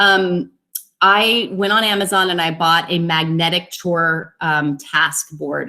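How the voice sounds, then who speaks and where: This woman has a plain, everyday voice. Her pitch is fairly low, with ordinary variation. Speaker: educational technology presenter. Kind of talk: webinar presentation. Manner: casual with many fillers.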